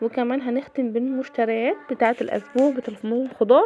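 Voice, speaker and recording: A woman speaks in an Egyptian accent. Her pitch is high. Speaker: cooking and daily-routine vlogger. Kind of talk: casual vlog narration. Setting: home kitchen.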